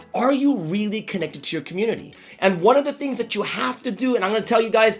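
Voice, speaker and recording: Over music in the background, a man speaks in an upbeat tone, his high pitch moving with ordinary variation. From Malaysia (currently living there). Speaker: motivational speaker / pastor. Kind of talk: motivational talk to camera. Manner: upbeat, conversational.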